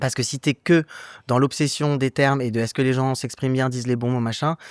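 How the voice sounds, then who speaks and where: A man talks at a fairly quick pace in a medium pitch, his intonation fairly even. The recording is very clean, with a silent background and a dry, close sound with no echo. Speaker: actor, writer, director. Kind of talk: interview answer. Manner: casual, hesitant.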